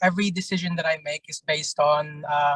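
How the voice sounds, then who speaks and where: A man with an English accent speaks in a bright, sharp tone at a moderate pace. His intonation is fairly even, and the sound is dry and close with no echo. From England. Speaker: job interviewee, former military police. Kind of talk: mock job interview. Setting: in a car, video call. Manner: halting, many fillers.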